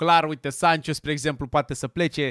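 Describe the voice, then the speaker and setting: Over a quiet background, a man with a fairly high pitch talks at a very fast pace in an animated tone, the sound dry with no echo. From Romania. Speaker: football YouTuber. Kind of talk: casual video commentary; casual commentary. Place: studio. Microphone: studio mic.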